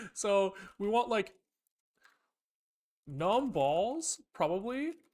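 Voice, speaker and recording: At a very slow pace, a man talks in a high pitch with very wide pitch swings. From western Canada, Vancouver. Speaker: programming live streamer. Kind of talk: live coding stream, casual chat. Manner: casual, thinking aloud with fillers and self-corrections.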